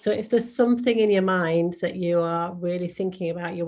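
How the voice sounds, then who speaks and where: Against a quiet background, a woman with an English accent speaks with ordinary pitch variation. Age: 50s. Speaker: model and podcaster. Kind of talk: interview.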